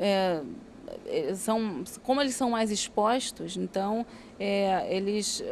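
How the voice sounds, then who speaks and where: With a Rio de Janeiro accent, a woman speaks at a fairly high pitch and ordinary pitch variation. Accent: carioca. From Rio de Janeiro, Brazil. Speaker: doctor. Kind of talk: interview. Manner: hesitant with fillers.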